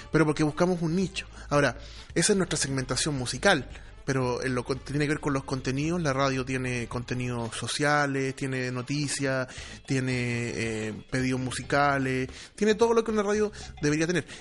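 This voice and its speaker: With a Chilean accent, a man speaks at a moderate pace and medium pitch with ordinary pitch variation. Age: 30s. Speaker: radio broadcaster. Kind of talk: casual chat.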